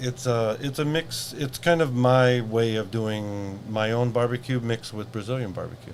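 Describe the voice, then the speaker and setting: Over noticeable background noise, a man with an American accent speaks at a moderate pace and medium pitch, with fairly even intonation and hardly any pauses. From US Pacific Northwest, Seattle. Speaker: event organizer. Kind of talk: casual interview.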